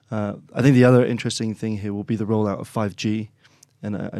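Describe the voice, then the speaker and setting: With an English accent, a man speaks in a dark, mellow tone at a fairly low pitch. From England, Oxford. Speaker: chief executive of a consulting firm. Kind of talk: business discussion.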